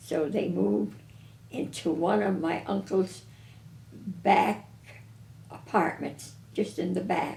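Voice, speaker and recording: Her voice is very deep and low, with a dark, mellow tone, vocal fry and a New England accent. This woman speaks at a very slow pace with very wide pitch swings. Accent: New England American. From Windsor Locks, Connecticut. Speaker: retired grocery store owner. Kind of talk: oral history interview answer.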